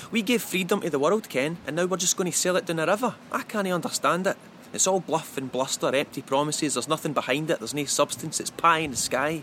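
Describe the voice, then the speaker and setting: A man with a Scottish accent, fairly high-pitched, at a fairly quick pace. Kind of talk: spoken poem.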